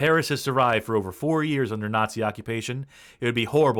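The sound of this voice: An unforced reading voice. Its pitch varies in an ordinary way.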